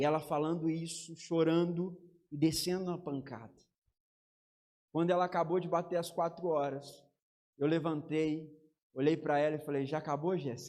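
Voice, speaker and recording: Pausing long and often, a man with a fairly high pitch and a dark, mellow tone speaks at a moderate pace with fairly even intonation. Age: 30s. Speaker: pastor. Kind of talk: sermon.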